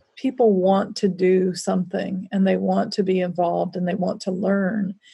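Dark and mellow in tone and somewhat breathy, a woman speaks at a moderate pace with an American accent. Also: hardly any pauses. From US South. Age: middle-aged. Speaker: author and social justice educator. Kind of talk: interview conversation.

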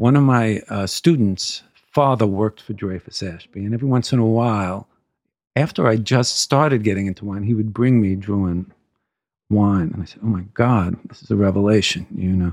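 A man speaks in an unremarkable speaking voice, fairly low in pitch with ordinary pitch variation and big swings in loudness. His pace is moderate, and the recording is very clean with a silent background. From New York, Brooklyn. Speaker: wine importer sales executive. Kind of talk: interview.

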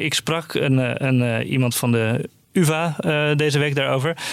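A man speaks in an ordinary speaking voice. His pitch is fairly high. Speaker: journalist. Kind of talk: casual news discussion.

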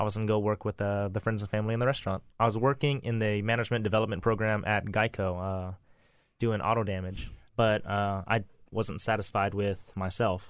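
With a plain, everyday voice and an American accent, a man talks at a fairly quick pace, fairly low in pitch with fairly even intonation, on a very clean recording with a silent background. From US South, Lafayette, Louisiana. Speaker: chef and restaurant owner. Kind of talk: casual interview.

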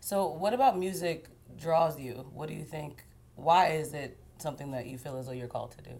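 With audible room echo, a woman's very deep, low voice in a dark, mellow tone moves at a fairly quick pace, showing ordinary pitch variation and big swings in loudness. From Haitian-American. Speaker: TV news interviewer. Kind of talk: interview. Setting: apartment.

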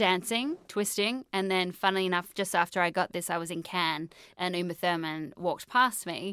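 With an Australian accent, a woman speaks at medium pitch in a bright, sharp tone with ordinary pitch variation. Her pace is moderate with hardly any pauses, on a very clean recording with a silent background. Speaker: film journalist and author. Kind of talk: casual interview chat. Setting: studio.

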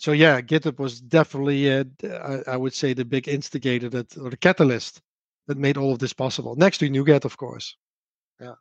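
Speaking in a Dutch accent at a fairly quick pace, a man with a fairly high voice keeps a fairly even intonation while his loudness swings widely. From Netherlands. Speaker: software developer and open source maintainer. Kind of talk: livestream interview. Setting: remote livestream.

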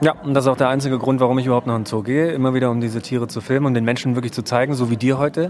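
Over noticeable background noise, a man speaks at a very fast pace with hardly any pauses and fairly even intonation. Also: medium pitch for a man. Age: 40s. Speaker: podcast host and research diver. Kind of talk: casual conversational interview on location. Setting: outdoors at a zoo.

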